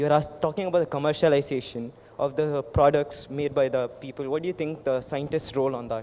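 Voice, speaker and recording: A man with a fairly high pitch speaks at a fairly quick pace, hardly pausing, his intonation fairly even. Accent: Indian. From India. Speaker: medical student. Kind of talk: audience question. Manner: hesitant; fast.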